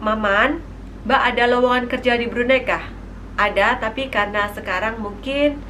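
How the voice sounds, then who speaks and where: A woman with a Javanese accent speaks at a high pitch and moderate pace with fairly even intonation. Audible room echo and noticeable background noise are present. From East Java, Indonesia (Tulungagung). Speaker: vlogger. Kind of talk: Q&A vlog.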